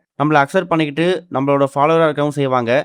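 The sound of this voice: This man talks very fast in a fairly high voice. His tone is clear and smooth, and his intonation stays fairly even.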